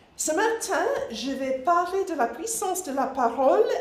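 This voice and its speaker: Amid noticeable background noise and audible room echo, a woman with a slight English accent speaks at a very slow pace, her pitch swinging very widely. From England, Nottinghamshire. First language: English (speaking French). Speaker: missionary, ministry director. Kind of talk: church presentation.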